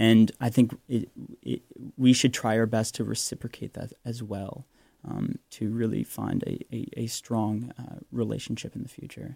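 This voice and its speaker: A man with a Canadian accent speaks at a moderate pace with a medium pitch, a dark, mellow tone and fairly even intonation. His loudness swings a lot, and the sound is dry and close with no echo. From Vancouver, western Canada. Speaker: medical student. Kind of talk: radio interview. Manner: halting, hedging with fillers.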